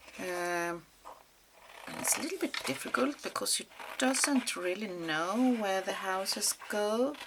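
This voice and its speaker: A woman with a non-native accent speaks at a fairly slow pace with lively intonation. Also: medium pitch for a woman. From Sweden. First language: Swedish. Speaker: mixed media crafter. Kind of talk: craft tutorial. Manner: halting, many fillers.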